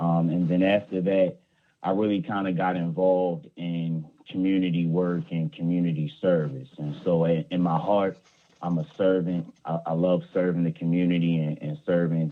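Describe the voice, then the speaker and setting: Speaking at a moderate pace, a man with an American accent has a very deep, low pitch and fairly even intonation. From Baltimore, Maryland. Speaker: conflict mediator, nonprofit leader. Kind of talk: interview.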